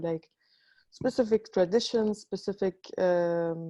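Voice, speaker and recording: A woman with a North African accent, medium pitch, dark, mellow tone, ordinary pitch variation and fairly slow pace, in a dry, close sound with no echo. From Libya. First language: Tamazight. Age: 20s. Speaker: artist. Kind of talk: panel discussion. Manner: halting.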